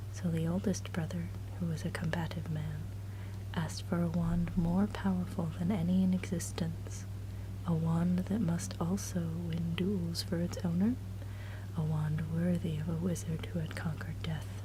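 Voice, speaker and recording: A soft-spoken woman is whispering. Noticeable background noise runs underneath. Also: moderate pace. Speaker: ASMR creator. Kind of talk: relaxing story reading. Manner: low, soft-spoken, whispered.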